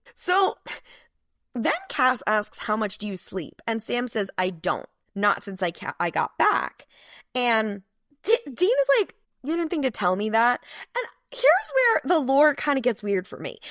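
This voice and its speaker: On a very clean recording with a silent background and a dry, close sound with no echo, a woman with a high voice speaks fairly slowly with very wide pitch swings and long, frequent pauses. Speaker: podcast co-host. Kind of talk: casual chat recapping a TV episode. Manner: animated.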